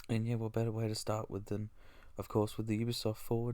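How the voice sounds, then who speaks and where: This man's voice is quiet and fairly low in pitch. Its tone is dark and mellow. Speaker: gaming YouTuber. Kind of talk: live reaction commentary. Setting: at home, recording early morning.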